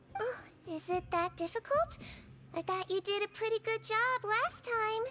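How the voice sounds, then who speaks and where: Against clear background noise, a woman uses a put-on character voice at an extremely high pitch and a moderate pace. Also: ordinary pitch variation. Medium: video game. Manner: soft-spoken, gentle.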